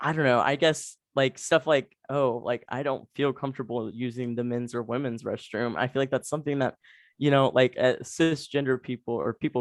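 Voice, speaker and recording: On a quiet background, a man with an American accent speaks at a medium pitch and moderate pace, intonation fairly even, the sound dry and close with no echo. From Texas. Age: young. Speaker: university student. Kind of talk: interview. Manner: casual, hesitant with many fillers.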